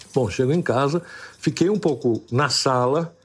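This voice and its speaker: A man's fairly high voice sounds somewhat breathy, its pitch varying in an ordinary way. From Brazil, São Paulo. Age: 60s. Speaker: interviewee telling personal story. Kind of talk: storytelling interview. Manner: halting, repeats words.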